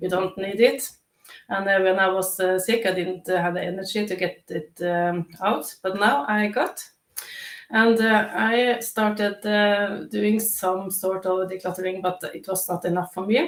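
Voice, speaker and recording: A woman speaks at a medium pitch. Her pace is fairly slow and her intonation fairly even. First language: not English. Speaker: declutter coach. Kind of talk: live interview. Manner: halting, many fillers.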